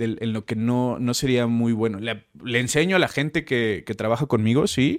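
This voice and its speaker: A man speaks at a medium pitch with a Mexico City accent, at a moderate pace and with ordinary pitch variation. The recording is very clean, with a silent background and a dry, close sound with no echo. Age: 30s. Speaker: chef. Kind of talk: casual interview.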